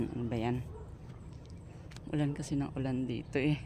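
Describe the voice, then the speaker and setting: A woman's dark, mellow tone. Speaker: gardening vlogger. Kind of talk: tutorial. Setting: outdoors in backyard.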